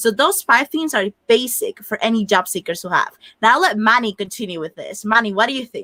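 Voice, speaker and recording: A woman's fairly high, bright and sharp voice rises and falls widely in loudness, recorded dry and close with no echo. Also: lively intonation, fairly quick pace, hardly any pauses. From Dominican Republic. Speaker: career coach. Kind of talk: panel discussion.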